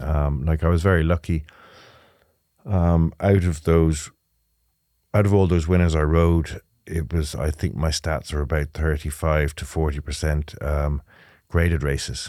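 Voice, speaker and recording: A man with an Irish Midlands accent, very deep and low in pitch, with a dark, mellow tone, fairly even intonation, a fairly slow pace and long, frequent pauses, on a very clean recording with a silent background. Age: 50s. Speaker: retired jockey, racecourse manager. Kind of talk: interview. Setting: studio.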